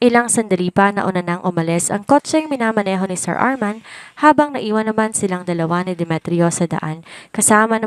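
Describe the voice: In this plain reading aloud, the pitch varies in an ordinary way.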